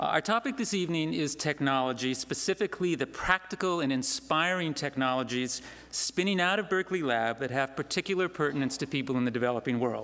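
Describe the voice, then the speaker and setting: The speech runs at a very fast pace with hardly any pauses. Music plays in the background. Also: man. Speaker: event host. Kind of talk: welcome speech. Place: stage. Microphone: podium.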